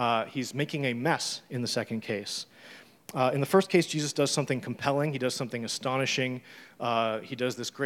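An unforced reading voice is used throughout.

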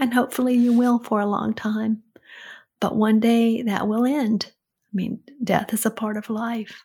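Fairly slow, somewhat breathy, monotone speech with flat intonation, in a very clean recording with a silent background. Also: woman, fairly high pitch for a woman, big swings in loudness. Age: 60s. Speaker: host's mother giving advice. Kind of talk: casual chat.

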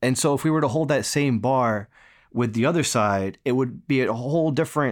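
In an ordinary speaking voice, a man with an American accent talks at a fairly quick pace and fairly high pitch with ordinary pitch variation, on a very clean recording with a silent background. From US East Coast, near New York City. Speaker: staff writer. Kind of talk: conversational interview.

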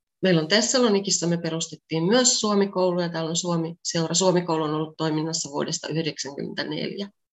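Fairly low pitch from a woman, ordinary pitch variation, moderate pace. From Finland, Pieksämäki. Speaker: translator and Finnish teacher. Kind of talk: interview. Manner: normal conversational pace.

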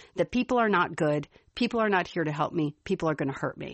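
A woman talks at a fairly quick pace with lively intonation and a slight Chicago accent. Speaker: podcast co-host. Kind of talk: casual chat.

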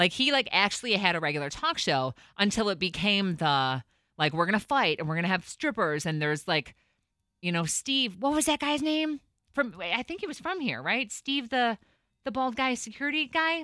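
Animated and with very wide pitch swings, a woman speaks in an American accent in a very clean recording with a silent background. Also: medium pitch for a woman. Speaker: radio host. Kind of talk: casual chat. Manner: fast talker.

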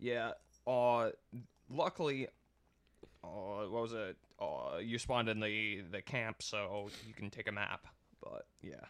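Speaking very slowly with long, frequent pauses, a man uses a medium pitch and ordinary pitch variation. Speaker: podcast co-host. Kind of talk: casual banter while gaming.

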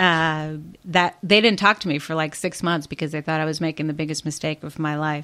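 Speaking in a Chicago accent, a woman uses a very deep, low pitch and a bright, sharp tone at a fairly quick pace. The recording is very clean, with a silent background. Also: fairly even intonation. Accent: Chicago American. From Chicago, southwest side. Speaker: political strategist and commentator. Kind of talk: interview conversation.

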